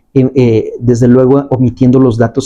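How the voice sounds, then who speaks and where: A man's dark, mellow tone carries through his moderately paced speech. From Mexico, León, Guanajuato. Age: 40s. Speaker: appeals court judge. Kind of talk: interview. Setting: judge's office. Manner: hesitant, with fillers.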